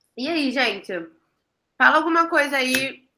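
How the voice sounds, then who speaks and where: A woman with lively intonation. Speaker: online class presenter, graduate student. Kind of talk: online class.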